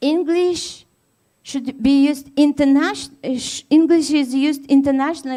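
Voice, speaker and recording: Speaking at a fairly slow pace, a woman has a high-pitched, dark, mellow voice with ordinary pitch variation. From Tatarstan, Russia. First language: Tatar. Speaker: university lecturer. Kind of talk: conference keynote. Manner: hesitant, many fillers.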